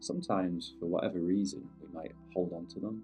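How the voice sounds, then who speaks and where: With music in the background, a man speaks in a British accent at a moderate pace and in a calm tone. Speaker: meditation guide. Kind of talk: guided meditation. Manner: calm, unscripted.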